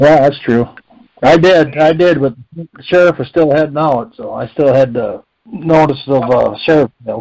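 With an American accent, a man talks at a fairly slow pace and fairly high pitch, with ordinary pitch variation and big swings in loudness. It is a plain, everyday voice against a quiet background. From Minnesota. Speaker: caller. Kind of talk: group conference call. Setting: phone call. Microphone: phone line.

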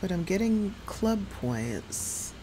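Noticeable background noise sits behind a woman speaking with an American accent. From New York City area. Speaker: gaming streamer. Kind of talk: live game stream commentary. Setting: home streaming setup with USB microphone. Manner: casual, chatty with filler words. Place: home room. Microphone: headset.

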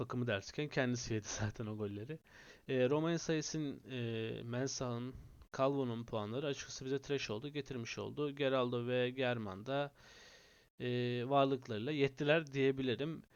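A man's voice sits at a medium pitch. He speaks at a moderate speed with fairly even intonation. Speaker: fantasy football gaming YouTuber. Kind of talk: casual video commentary. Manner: hesitant with frequent filler sounds.

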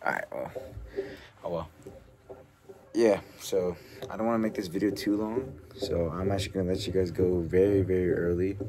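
A man speaks with fairly even intonation and long, frequent pauses over noticeable background noise. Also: moderate pace. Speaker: fitness vlogger. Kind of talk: casual vlog talk to camera. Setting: home gym. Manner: casual, rambling with fillers.

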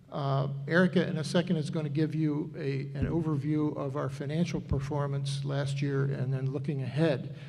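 A man with a fairly high pitch speaks at a moderate pace in a monotone, flat intonation, with hardly any pauses and audible room echo. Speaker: finance committee member. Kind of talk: public meeting presentation. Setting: town meeting hall with microphones.

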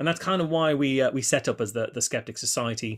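A man talks fairly quickly with ordinary pitch variation against a quiet background. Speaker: speaker. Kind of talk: lecture. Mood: friendly, upbeat. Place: home room.

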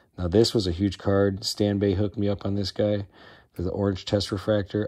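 With an American accent, a man talks at a fairly quick pace in a somewhat breathy voice. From Chicago, US Midwest. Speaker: sports card collector. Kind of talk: casual collection tour video. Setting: at home. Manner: casual, filler-heavy. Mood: enthusiastic, proud. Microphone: phone near.

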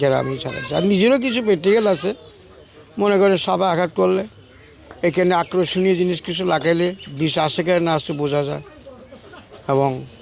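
Noticeable background noise sits behind a man talking at a high pitch with ordinary pitch variation. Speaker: snake charmer. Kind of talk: interview.

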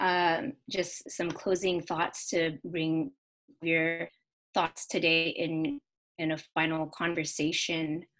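A woman's fairly low pitch with ordinary pitch variation, at a very slow pace against a quiet background. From US, Carson, Los Angeles area; California. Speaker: panel moderator, former student organization president; panel moderator. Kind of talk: online panel moderation. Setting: online video seminar. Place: home room. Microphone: video call.

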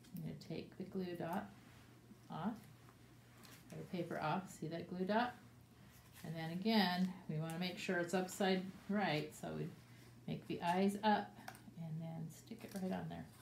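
A woman's fairly low voice with ordinary pitch variation, a moderate pace and long, frequent pauses, over light background noise and audible room echo. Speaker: teacher. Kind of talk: tutorial for young children. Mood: warm, cheerful. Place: classroom. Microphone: phone near.

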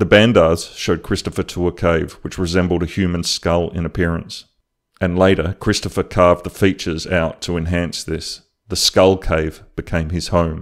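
Speaking at a moderate pace with an Australian accent, a man has a very deep, low pitch and a monotone, flat intonation. The recording is very clean, with a silent background. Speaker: YouTube artist. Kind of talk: narrated drawing video.

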